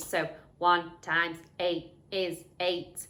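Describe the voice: In a put-on character voice, the speaker holds a middle pitch with monotone, flat intonation.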